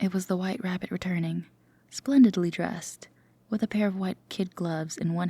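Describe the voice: Text is read out plainly. Nothing more than straightforward reading.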